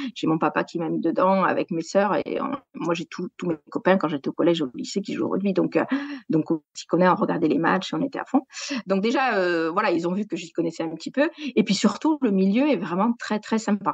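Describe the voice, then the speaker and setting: With very wide pitch swings around a medium pitch, a woman talks at a fairly quick pace in a dry, close sound with no echo. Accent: southwestern French. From southwest France (Gers). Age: 40s. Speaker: sports journalist. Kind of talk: podcast interview. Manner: hesitant, many fillers.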